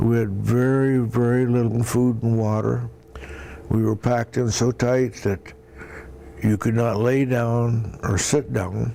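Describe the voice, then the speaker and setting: Over noticeable background noise, a man with a Midwestern US accent speaks at a fairly slow pace in a medium pitch, his intonation fairly even and his loudness very even. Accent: US Midwest. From Iowa. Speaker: war veteran. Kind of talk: oral history interview. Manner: halting.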